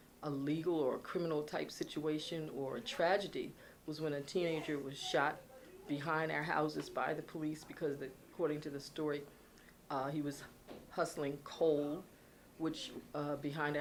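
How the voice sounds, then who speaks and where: With an American accent, a woman speaks at a moderate pace in a very deep, low pitch. Her intonation is monotone and flat, and room echo is audible. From Philadelphia, US. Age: 70s. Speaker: former TV talk show host. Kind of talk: oral history interview. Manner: halting.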